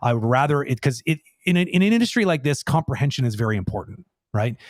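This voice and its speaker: A man with a fairly high pitch speaks at a very fast pace, somewhat breathy and with lively intonation, in a dry, close sound with no echo. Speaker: animation director. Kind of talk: live Q&A.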